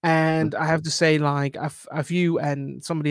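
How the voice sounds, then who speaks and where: The man's pitch sits fairly high. He speaks at a moderate pace in a flat monotone. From UK. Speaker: podcast host. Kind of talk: interview. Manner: halting.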